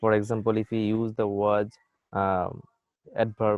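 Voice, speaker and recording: Speaking with a Bengali accent, a man uses a fairly low pitch and a monotone, flat intonation. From Bangladesh. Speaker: university lecturer. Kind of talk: lecture. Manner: halting.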